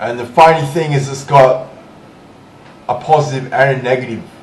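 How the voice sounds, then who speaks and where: A man speaks with fairly even intonation. There is audible room echo and noticeable background noise. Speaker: hobbyist electronics tinkerer. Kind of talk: casual explanation to camera.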